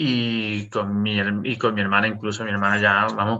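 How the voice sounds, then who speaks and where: A man talks at a moderate pace with a bright, sharp tone. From Canary Islands, Las Palmas. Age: 30s. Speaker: history content creator. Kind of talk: casual chat. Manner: halting.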